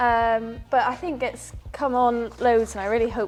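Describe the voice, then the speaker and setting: With a Northern Irish accent, this speaker talks at a fairly slow pace. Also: woman. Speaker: event rider. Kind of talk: casual interview.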